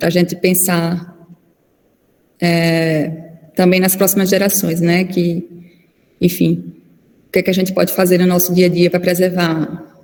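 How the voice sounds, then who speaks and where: A fairly low-pitched woman's voice, monotone and flat, at a fairly slow pace with long, frequent pauses, very even loudness and audible room echo. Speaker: physician and lecturer. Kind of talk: online lecture.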